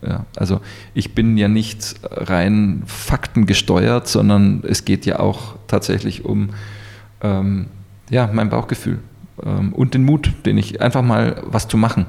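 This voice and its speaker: Speaking at a very slow pace and very even loudness, a man uses a fairly low pitch with ordinary pitch variation. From Munich, Bavaria. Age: 40s. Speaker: business coach. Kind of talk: interview. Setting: in person, Munich.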